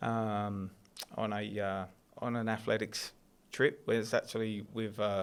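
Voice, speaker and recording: In an English accent, a man with a fairly low pitch speaks in a flat monotone with long, frequent pauses. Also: fairly slow pace. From southeast England, Kent. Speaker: athletics coach. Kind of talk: casual chat.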